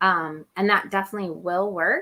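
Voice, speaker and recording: This woman talks at a moderate pace and a medium pitch in a normal speaking voice. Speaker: online publishing educator. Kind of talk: live stream Q&A. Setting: live video stream. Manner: casual, filler-heavy.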